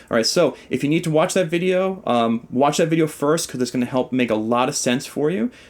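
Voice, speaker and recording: Animated and lively in intonation, a man speaks at a fairly quick pace with a fairly high pitch and very even loudness. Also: hardly any pauses. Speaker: guitar teacher. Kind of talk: tutorial. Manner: talkative.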